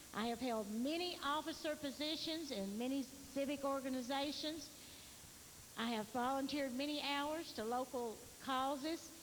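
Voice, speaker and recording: In a Tennessee accent, a woman with a high pitch talks at a moderate pace with ordinary pitch variation and very even loudness, with audible room echo. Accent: Southern US, Tennessee. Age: 60s. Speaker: political candidate. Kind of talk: campaign speech. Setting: candidate forum.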